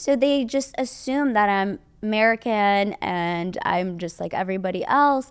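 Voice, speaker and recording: On a very clean recording with a silent background, a woman with a slight Iranian accent speaks fairly slowly at a fairly high pitch. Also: lively intonation. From Iran (Tehran). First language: Persian. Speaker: model and modeling teacher. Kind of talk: casual interview chat.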